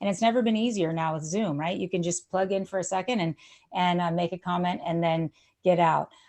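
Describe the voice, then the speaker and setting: A woman's energetic, fairly low-pitched voice at a fairly quick pace. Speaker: housing advocacy nonprofit presenter. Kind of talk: presentation. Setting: video call. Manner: fast.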